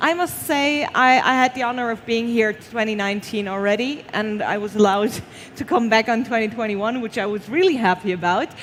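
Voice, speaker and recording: With noticeable background noise behind her, a woman with a non-native accent speaks at a fairly high pitch. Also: ordinary pitch variation, fairly quick pace. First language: not English. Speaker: award show presenter. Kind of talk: live award presentation.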